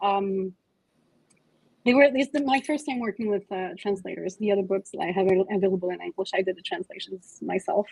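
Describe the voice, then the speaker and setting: A woman talks in a Quebec accent at a medium pitch with ordinary pitch variation. The sound is dry and close, with no echo. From Quebec, Canada. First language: French. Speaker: comic author. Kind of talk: book club interview. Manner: halting, many fillers.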